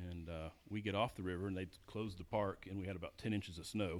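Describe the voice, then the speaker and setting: Fairly even intonation comes through with an American accent. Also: man. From US South, Georgia. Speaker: fishing guide. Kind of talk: casual chat.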